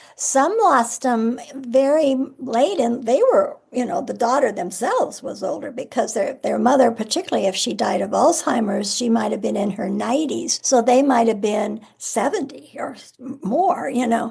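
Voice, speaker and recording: With an American accent and a high pitch, a woman talks at a moderate pace with lively intonation, big swings in loudness and hardly any pauses, over noticeable background noise. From Nebraska, US Midwest. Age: 70s. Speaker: author. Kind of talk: interview.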